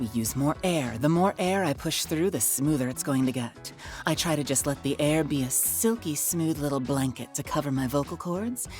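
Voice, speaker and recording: A woman speaks breathily at a moderate pace. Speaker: voice acting instructor demonstrating character voices. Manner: smooth, breathy, lots of air support.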